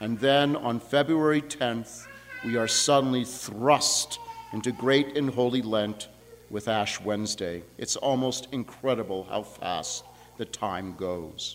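A man talks at a very slow pace in a medium pitch with ordinary pitch variation. Noticeable background noise runs underneath. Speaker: priest. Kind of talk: sermon.

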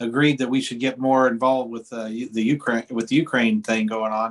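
This man has a medium pitch, a moderate pace and ordinary pitch variation. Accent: American. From US Midwest, Indiana (Tippecanoe County). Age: 50s. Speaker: podcast host and musician. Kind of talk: interview. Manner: halting, many fillers and repeats.

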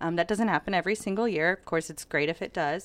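This is a woman with an unremarkable speaking voice, medium in pitch and lively in intonation. The recording is very clean, with a silent background and a dry, close sound with no echo. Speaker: realtor business coach. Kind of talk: interview.

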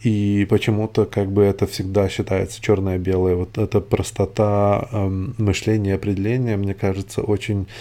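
Dark and mellow in tone, a man speaks at a moderate pace with a fairly low pitch and monotone, flat intonation. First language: not Russian (speaking Russian). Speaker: podcaster. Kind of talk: solo monologue. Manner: halting.

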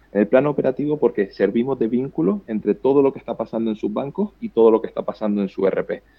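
Very fast and with hardly any pauses, a man at medium pitch speaks with lively intonation. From Canary Islands. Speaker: startup co-founder and CEO. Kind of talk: interview. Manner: halting, repeats words.

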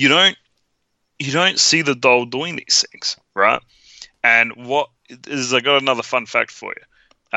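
Speaking in an animated tone with an Australian accent, a man keeps a fairly slow pace. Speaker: podcast co-host. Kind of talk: casual movie review chat. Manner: animated, jokey.

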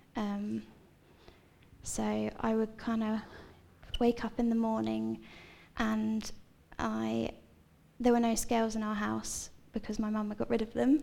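A woman speaks with a southern English accent at a fairly slow pace. She leaves long, frequent pauses. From Seaford, East Sussex, southern England. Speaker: church member sharing life story. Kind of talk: testimony. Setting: church stage with audience.

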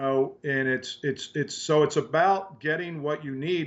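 A man speaks at a moderate pace in a fairly high pitch with ordinary pitch variation. He has an ordinary speaking voice. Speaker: special effects coordinator. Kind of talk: casual interview chat. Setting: home man cave.

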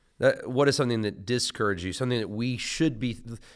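Delivered at a very fast pace with ordinary pitch variation, this voice has an American accent on a very clean recording with a silent background. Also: man. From US South. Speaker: podcast host and pastor. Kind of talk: casual interview.

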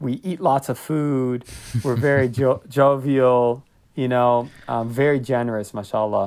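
A man speaks at a fairly slow pace in an unremarkable speaking voice, with medium pitch and fairly even intonation. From US Northeast. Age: 20s. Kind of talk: casual chat.

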